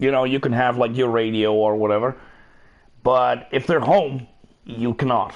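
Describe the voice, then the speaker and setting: A man speaks at a moderate pace and medium pitch, keeping his loudness very even and leaving long, frequent pauses. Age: middle-aged. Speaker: gaming streamer. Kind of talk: live gameplay stream chat. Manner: animated.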